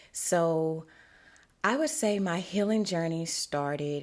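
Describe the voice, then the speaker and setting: In a Louisiana accent, the speaker keeps a fairly even intonation on a very clean recording with a silent background. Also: woman. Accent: Southern US (Louisiana). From US South, Shreveport, Louisiana. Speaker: podcast host, spiritual wellness coach. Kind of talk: podcast monologue. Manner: casual, conversational.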